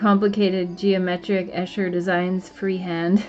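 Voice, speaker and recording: Over background music, a woman talks at a fairly slow pace. Her pitch is medium. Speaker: art teacher. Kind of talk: drawing tutorial.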